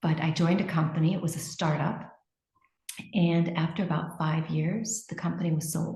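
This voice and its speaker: A woman's fairly low, somewhat breathy voice with an American accent, a dark, mellow tone and monotone, flat intonation. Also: moderate pace. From United States. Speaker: marketing executive. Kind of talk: interview. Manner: hesitant, many fillers.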